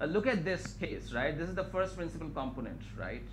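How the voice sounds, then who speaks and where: A high-pitched man's voice, bright and sharp in tone, with audible room echo. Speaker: scientist giving a research talk. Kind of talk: lecture. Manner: fast.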